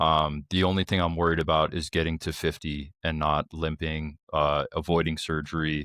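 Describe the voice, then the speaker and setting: A man with a New York accent speaks at a very deep, low pitch in a bright, sharp tone with monotone, flat intonation. His moderate pace has hardly any pauses, and the sound is dry and close with no echo against a quiet background. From New York (Brooklyn). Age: 30s. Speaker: military and law enforcement veteran. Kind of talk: casual chat.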